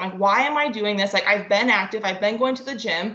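With a Midwestern US accent, a woman speaks at a fairly high pitch with ordinary pitch variation. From northwest Ohio. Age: 20s. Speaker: nurse. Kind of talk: casual chat.

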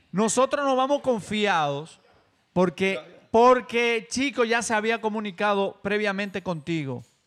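This man's high voice moves at a fairly slow pace with lively intonation, on a very clean recording with a silent background. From Dominican Republic, Baní. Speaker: podcast guest. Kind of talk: casual group chat.

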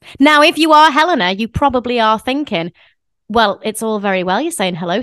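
A woman's bright, sharp voice leaps through very wide pitch swings, recorded dry and close with no echo in a very clean take with a silent background. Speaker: podcast co-host and performer. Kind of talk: casual chat.

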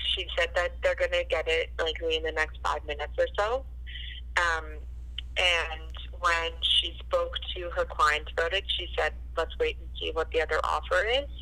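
Noticeable background noise runs beneath this woman. She talks at a moderate pace. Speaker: real estate agent.

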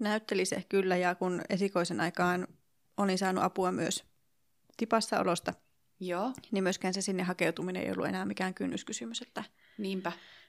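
A woman speaks at medium pitch with vocal fry. The sound is dry and close with no echo. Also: ordinary pitch variation, moderate pace, very clean recording, silent background. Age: 40s. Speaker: early childhood teacher sharing infertility story. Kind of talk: interview testimony. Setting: hotel room in Helsinki.

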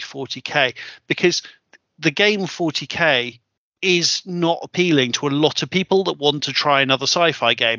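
Speaking at a fairly slow pace, a man has a British accent. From UK. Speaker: podcast host, tabletop wargamer. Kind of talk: casual chat.

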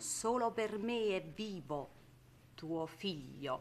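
A woman's medium-pitched voice in a Neapolitan accent. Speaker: stage actress. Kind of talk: stage play performance, Neapolitan drama.

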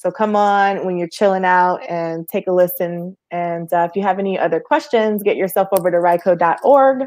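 With an American accent, a woman talks at a moderate pace in a medium pitch with ordinary pitch variation, a normal speaking voice. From Georgia, US South. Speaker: podcast host. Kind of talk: casual interview.

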